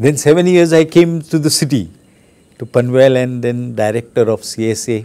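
In a Marathi accent, a man with a dark, mellow tone talks at a fairly slow pace with lively intonation. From India, Maharashtra. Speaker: archbishop. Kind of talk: testimony. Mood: reflective, reminiscing. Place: home room.

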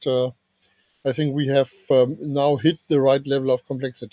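A man speaks at a fairly high pitch in a monotone, flat intonation. The sound is dry with no echo, and the background is quiet. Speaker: standards engineer, document author. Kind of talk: technical working group meeting. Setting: video call. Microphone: video call.

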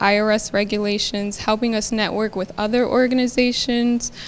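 Soft-spoken and fairly high in pitch, a woman talks with monotone, flat intonation. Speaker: nonprofit organization representative. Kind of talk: public presentation. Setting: city council meeting. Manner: hesitant, many fillers.

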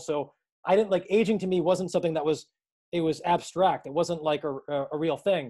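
Against a quiet background, a man talks very fast in a dark, mellow tone with fairly even intonation. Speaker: physical therapist and practice co-founder. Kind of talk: lecture to students. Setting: video call. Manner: talkative, long-winded. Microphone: video call.

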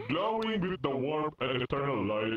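A man performs a put-on character voice. His pitch swings very widely. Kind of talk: mock-solemn wedding ceremony speech. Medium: game stream. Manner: formal and earnest, turning to deadpan threats.

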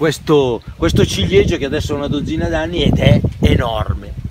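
Loud background noise surrounds a man who speaks at a fairly slow pace. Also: dry sound with no echo. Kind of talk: casual explanatory vlog talk. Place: open country. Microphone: phone near.

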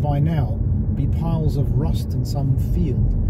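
Loud background noise behind a male voice. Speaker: car vlogger. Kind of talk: casual driving commentary. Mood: relaxed, opinionated. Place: car.

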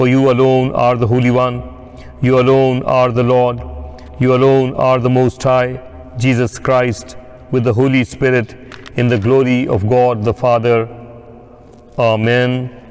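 Fairly slow, monotone delivery with flat intonation, very even loudness and long, frequent pauses. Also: man. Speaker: priest leading worship. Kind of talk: liturgical reading. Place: church.

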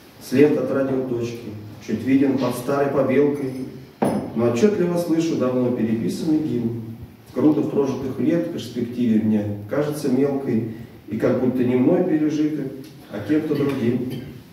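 Long, frequent pauses break up a man's medium-pitched speech, which has ordinary pitch variation. Strong room echo and light background noise surround him. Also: moderate pace. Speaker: poet. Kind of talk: poetry reading. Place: meeting room. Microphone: camera far.

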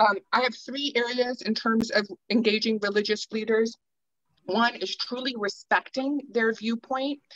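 A woman's fairly high voice at a fairly slow pace, fairly even in intonation, an ordinary speaking voice in a dry sound with no echo and a quiet background. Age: 40s. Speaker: peacebuilding panelist; panelist. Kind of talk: panel discussion. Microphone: video call.

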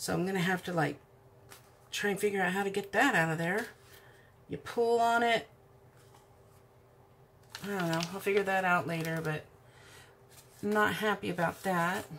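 A woman speaks at a moderate pace, with long, frequent pauses. Her pitch varies in an ordinary way over light background noise. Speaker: crafter reviewing a kit. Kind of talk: casual unboxing commentary. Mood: mildly disappointed. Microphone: camera far.

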